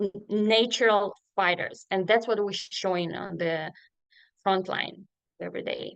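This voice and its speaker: A woman with a Ukrainian accent speaks at a fairly slow pace in a monotone, flat intonation. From Ukraine (Sloviansk, Donetsk region). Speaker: refugee resettlement worker. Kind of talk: panel discussion. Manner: halting, many fillers.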